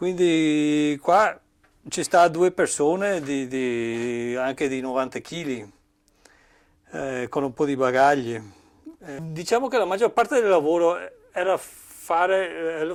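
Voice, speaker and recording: Speaking very slowly with long, frequent pauses, a man with a slight English accent uses a fairly high pitch, lively intonation and big swings in loudness. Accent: slight English accent in Italian. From Cornwall, England. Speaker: boat builder, carpenter. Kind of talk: workshop tour explanation. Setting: boatbuilding workshop. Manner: halting, many fillers and restarts.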